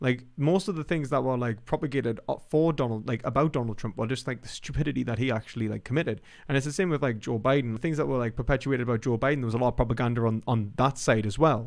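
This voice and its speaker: Talking at a very fast pace, a man with a British accent keeps a medium pitch. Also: ordinary pitch variation, hardly any pauses. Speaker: philosophy YouTuber. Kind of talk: live stream commentary. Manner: casual, halting with fillers.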